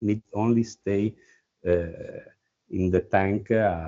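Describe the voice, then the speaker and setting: A man with an Italian accent talks at a very slow pace. His pitch is fairly low and his intonation fairly even. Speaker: winemaker. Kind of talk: wine tasting talk. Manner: halting.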